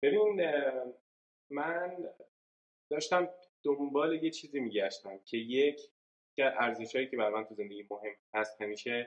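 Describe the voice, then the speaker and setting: Lively intonation marks this man's medium-pitched voice. He keeps a moderate pace with long, frequent pauses. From Iran, Yazd. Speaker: startup founder and CEO. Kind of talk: interview conversation.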